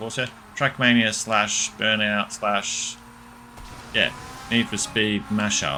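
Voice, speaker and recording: Very slow speech from a man amid noticeable background noise. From Australia. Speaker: gaming streamer. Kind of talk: live gameplay commentary. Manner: casual, with filler sounds.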